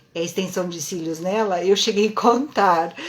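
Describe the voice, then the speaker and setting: Noticeable background noise and audible room echo fill the recording. A woman speaks at a medium pitch with fairly even intonation. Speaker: lash and brow technician teaching online. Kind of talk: live-stream lecture. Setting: live stream.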